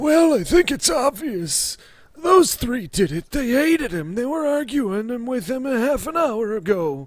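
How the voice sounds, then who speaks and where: Delivered at a moderate pace, this put-on character voice swings very widely in pitch. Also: man, extremely high pitch for a man. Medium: actual play. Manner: accusing, querulous.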